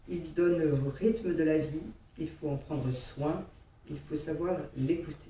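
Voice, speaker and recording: Audible room echo surrounds a woman speaking at a very slow pace, her fairly low voice showing ordinary pitch variation. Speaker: heart patient giving testimony. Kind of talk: testimony.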